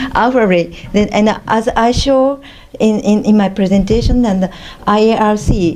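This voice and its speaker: A woman speaks in a medium pitch at a fairly slow pace, with ordinary pitch variation. Noticeable background noise is present. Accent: non-native. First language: non-native English speaker. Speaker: scientist, conference presenter. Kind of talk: panel Q&A answer. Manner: halting, many fillers.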